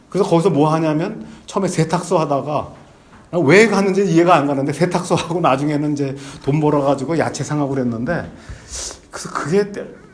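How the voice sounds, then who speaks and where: There is noticeable background noise and audible room echo as a man talks at a fairly quick pace. His pitch is fairly high, with ordinary variation. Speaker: former diplomat and visiting professor giving a lecture. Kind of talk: lecture. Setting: lecture hall with audience. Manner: halting, many fillers.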